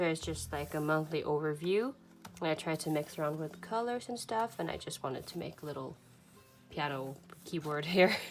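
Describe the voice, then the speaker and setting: Over music in the background, a woman with a Swedish accent speaks at a fairly quick pace in a very deep, low pitch with lively intonation. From Sweden. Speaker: journaling vlogger. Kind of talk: casual flip-through walkthrough. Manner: hesitant, many fillers.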